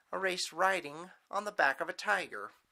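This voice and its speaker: Projecting a raised voice, a man speaks at a fairly slow pace with a high pitch and a bright, sharp tone in a very clean recording with a silent background. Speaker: storyteller. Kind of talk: improvised bedtime story narration.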